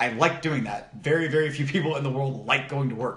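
The speaker is a man with an American accent and a medium pitch. He talks at a very fast pace. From US East Coast. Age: 20s. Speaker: podcast host. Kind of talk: casual chat. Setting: home office.

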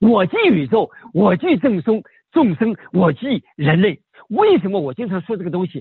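A man speaks at a moderate pace in a high voice, his intonation lively. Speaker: martial arts and meditation master. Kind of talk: casual chat. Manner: halting, with many repetitions and fillers.

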